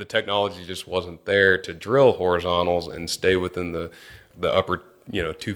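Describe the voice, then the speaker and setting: This man's voice is very deep and low, flat and monotone, with a Texan accent. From Texas (Angleton, near Houston). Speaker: petroleum engineer. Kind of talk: interview conversation.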